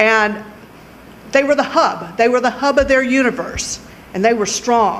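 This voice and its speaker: Over noticeable background noise, a woman with a Louisiana accent talks at a fairly high pitch. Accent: southern US (Louisiana). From Louisiana, Lake Charles. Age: 60s. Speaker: lawyer, judicial candidate. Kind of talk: award acceptance speech. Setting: public event at a library.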